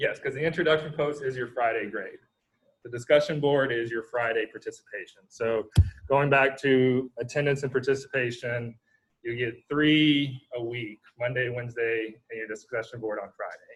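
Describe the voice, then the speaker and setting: A man talks at a medium pitch and a moderate pace. His voice is somewhat breathy, with fairly even intonation. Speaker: university lecturer. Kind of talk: lecture. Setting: video call.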